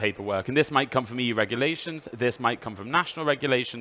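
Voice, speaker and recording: The speaker is a man with a British accent. He uses lively intonation. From UK. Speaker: EU official presenter. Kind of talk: presentation.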